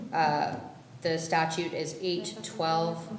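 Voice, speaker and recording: Very slowly, a woman speaks amid noticeable background noise and audible room echo. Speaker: defense attorney. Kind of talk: courtroom plea presentation. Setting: courtroom.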